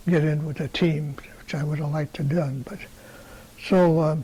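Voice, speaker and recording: With an American accent, a man speaks at a moderate pace and fairly high pitch. His tone is dark and mellow, and his intonation fairly even. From Wisconsin, Milwaukee. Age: 90s. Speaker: retired tool and die maker. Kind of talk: interview. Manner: halting.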